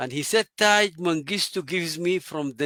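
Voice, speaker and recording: In a Sudanese accent, a man with a bright, sharp tone talks at a moderate pace, his pitch fairly high with ordinary variation, on a very clean recording with a silent background. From Sudan, Omdurman. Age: 80s+. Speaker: engineer and water advisor. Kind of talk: interview storytelling.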